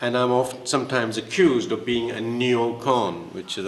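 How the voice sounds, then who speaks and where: Man's medium-pitched voice with noticeable background noise. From England. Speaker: author. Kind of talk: panel discussion. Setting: stage with audience.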